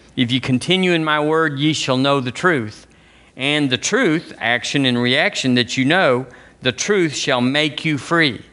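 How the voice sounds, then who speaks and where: A man speaks in an Alabama accent. His pitch is fairly high and his pace fairly slow. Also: ordinary pitch variation, very even loudness. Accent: Southern US (Alabama). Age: 60s. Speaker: pastor. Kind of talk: sermon. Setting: church.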